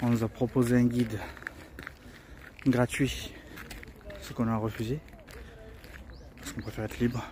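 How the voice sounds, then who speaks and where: A man speaks at a medium pitch and moderate pace in a monotone, flat delivery. Noticeable background noise runs underneath. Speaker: travel vlogger. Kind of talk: casual vlog narration. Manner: soft-spoken; halting, many repetitions.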